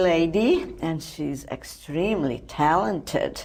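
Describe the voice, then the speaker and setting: Amid noticeable background noise and audible room echo, a woman speaks at a very slow pace. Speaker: TV talk show host. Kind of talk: TV interview.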